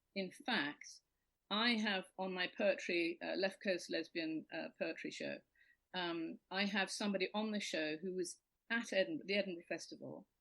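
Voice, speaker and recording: Speaking with a British accent, a woman of medium pitch uses lively intonation at a moderate pace. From Britain. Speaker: comedian and poetry show host. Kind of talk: casual chat.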